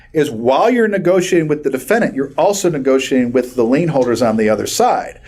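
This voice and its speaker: A man talks very fast in an animated tone, his pitch swinging very widely. Audible room echo surrounds the voice. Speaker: personal injury lawyer. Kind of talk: continuing legal education lecture.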